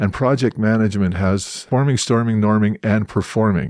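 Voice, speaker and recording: Here is a man with a Canadian accent and an ordinary speaking voice, talking at a moderate pace. The sound is dry and close with no echo, on a very clean recording with a silent background. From Edmonton, Alberta, Canada. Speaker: theatre director. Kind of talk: interview.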